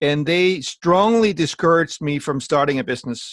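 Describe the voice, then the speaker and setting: A man speaks at a moderate pace. He has a slight Danish accent. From Denmark. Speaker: network marketing entrepreneur. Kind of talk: training call talk.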